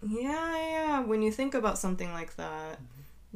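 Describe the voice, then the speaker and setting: A woman at a fairly high pitch, very wide pitch swings, a moderate pace and audible room echo. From Hong Kong and Japan, international schools. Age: 20s. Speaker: podcast co-host. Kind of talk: casual chat.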